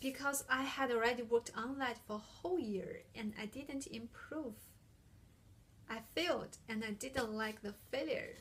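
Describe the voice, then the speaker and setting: Someone with a non-native accent speaks at a moderate pace with ordinary pitch variation. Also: woman, high pitch for a woman. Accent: heavy non-native. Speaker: international student, speaker. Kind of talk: prepared talk.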